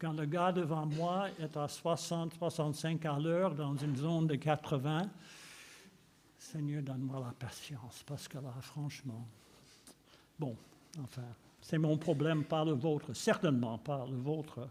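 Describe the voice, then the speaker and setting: A man's fairly high, somewhat breathy voice at a fairly slow pace, with long, frequent pauses and ordinary pitch variation. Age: 80s+. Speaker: preacher. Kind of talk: sermon.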